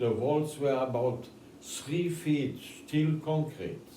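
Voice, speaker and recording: A man with a German accent, very slow pace and ordinary pitch variation. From Germany. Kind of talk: interview answer.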